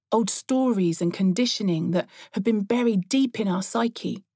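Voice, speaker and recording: A woman at medium pitch speaks at a fairly slow pace with ordinary pitch variation, her tone warm, dark and mellow. The sound is dry and close, with no echo. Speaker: audiobook author-narrator.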